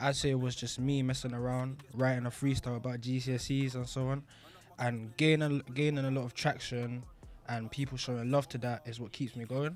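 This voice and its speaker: A man speaks with a London accent at a medium pitch. His intonation is monotone and flat, with music in the background. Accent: London multicultural English. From London, England. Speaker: rapper. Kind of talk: interview.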